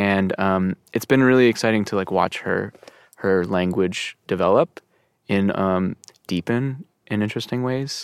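In an ordinary speaking voice, a man talks at a fairly slow pace and fairly low pitch with ordinary pitch variation, the sound dry and close with no echo on a very clean recording with a silent background. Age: 30s. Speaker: pianist and composer. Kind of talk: casual interview. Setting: studio.

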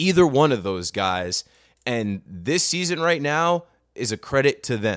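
In a normal speaking voice, a man of medium pitch talks at a moderate pace with lively intonation on a very clean recording with a silent background. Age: 30s. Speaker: baseball podcast co-host. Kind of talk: casual chat.

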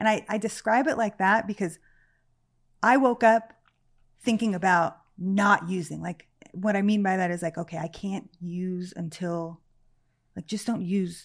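A woman with an American accent speaks at a medium pitch, with ordinary pitch variation. She pauses often and at length against a quiet background. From Los Angeles area, California. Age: 30s. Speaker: person in addiction recovery. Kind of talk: personal testimony in interview.

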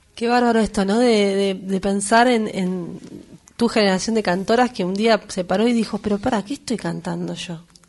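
With a normal speaking voice, a woman talks at a medium pitch. Her pace is moderate and her intonation fairly even. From Buenos Aires suburbs (conurbano), Argentina. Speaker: radio host. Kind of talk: casual chat. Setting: studio.

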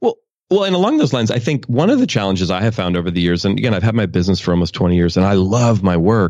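Over a quiet background, a man with an American accent talks at a very fast pace in a fairly low pitch, with ordinary pitch variation and very even loudness. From US West Coast, Oakland, California. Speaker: author and leadership speaker. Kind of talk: interview.

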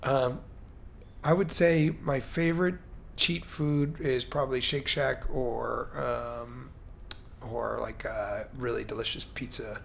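A man speaks at a very slow pace. Room echo is audible in the recording. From US Midwest/Mid-Atlantic (Chicago, Baltimore). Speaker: entrepreneur. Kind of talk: casual interview.

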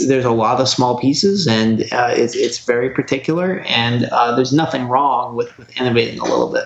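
This man has an American accent and a medium pitch, speaking at a fairly quick pace with hardly any pauses. Noticeable background noise is present. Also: ordinary pitch variation. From Oregon, US. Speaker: repair teardown technician. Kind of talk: casual interview chat. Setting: phone or video call.

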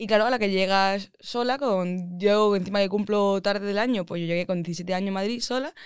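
A woman talks fairly quickly at a medium pitch, her pitch varying in an ordinary way. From Andalusia, Málaga. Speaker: aeronautical engineer. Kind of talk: casual interview chat.

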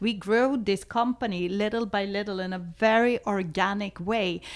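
A woman's medium-pitched voice with a Swedish accent and fairly even intonation. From Sweden. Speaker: adult film director. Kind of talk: interview.

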